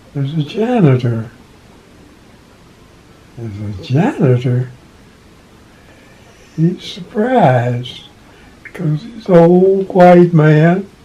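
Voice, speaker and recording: A man's high-pitched voice at a very slow pace, with very wide pitch swings, big swings in loudness and long, frequent pauses, over noticeable background noise. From Kentucky. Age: 90s. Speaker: retired postal worker. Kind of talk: interview answer.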